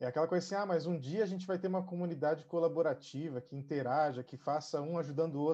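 Against a quiet background, a man with a dark, mellow tone speaks at a very fast pace with ordinary pitch variation. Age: 30s. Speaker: digital marketing specialist. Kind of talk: live panel discussion.

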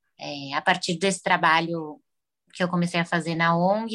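Fairly low in pitch, a woman speaks with fairly even intonation at a moderate pace. Hers is a normal speaking voice, with a dry, close sound and no echo. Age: 20s. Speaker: psychologist. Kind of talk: interview.

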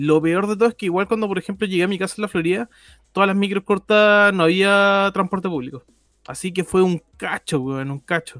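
A man's high voice at a fairly quick pace, with ordinary pitch variation, in a very clean, dry, close recording with a silent background and no echo. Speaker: podcast co-host. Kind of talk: casual chat.

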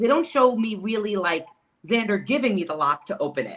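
A woman talks at a fairly quick pace in an unremarkable speaking voice with an American accent. Her pitch is fairly high and her intonation lively. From Queens, New York City. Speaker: reality TV contestant. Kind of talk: casual interview.

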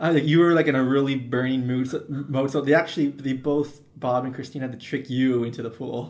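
A man with a plain, everyday voice talks at a fairly quick pace, medium in pitch and fairly even in intonation. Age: 20s. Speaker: podcast co-host. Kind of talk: casual chat.

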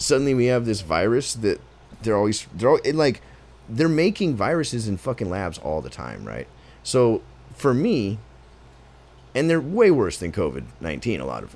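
The voice moves at a moderate pace with very wide pitch swings, big swings in loudness, long, frequent pauses and vocal fry. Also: man, medium pitch for a man. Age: 30s. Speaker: podcast host. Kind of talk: casual chat.

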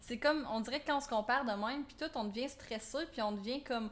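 A woman's high voice with a Quebec accent, fairly quick in pace, with ordinary pitch variation. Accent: Québécois French. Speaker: podcast co-host. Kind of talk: casual chat.

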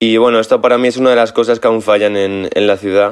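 A man speaks with monotone, flat intonation at a fairly low pitch. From Spain, Ávila. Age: 20s. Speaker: DJ. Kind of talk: recorded message.

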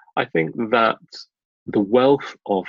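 This man speaks with a British accent. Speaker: business school recruitment manager. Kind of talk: interview. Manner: animated.

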